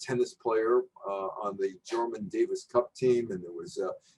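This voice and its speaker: A man is speaking. His pace is fairly slow. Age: 60s. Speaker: journalist and sports commentator. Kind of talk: lecture. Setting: virtual presentation.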